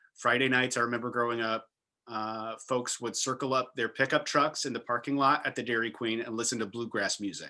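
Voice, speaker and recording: In a very clean recording with a silent background, a man speaks at a fairly quick pace with an American accent. His medium-pitched voice has a bright, sharp tone. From US South, rural Virginia. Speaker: panel moderator. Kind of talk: panel discussion. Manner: animated.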